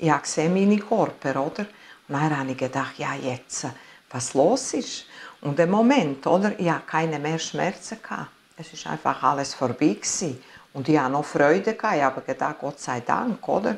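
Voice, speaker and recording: A woman's very deep, low voice at a moderate pace, with very wide pitch swings. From Italy. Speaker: near-death experience witness; interviewee. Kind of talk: interview testimony. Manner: halting. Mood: earnest, emotional storytelling. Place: home room.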